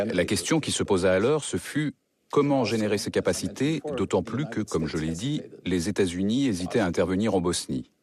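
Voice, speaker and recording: This man has an ordinary speaking voice, fairly low in pitch, with lively intonation. He talks at a moderate pace against a quiet background. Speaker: voice-over artist. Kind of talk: documentary voice-over reading the translated testimony of an interviewee; documentary voice-over for a broadcast documentary.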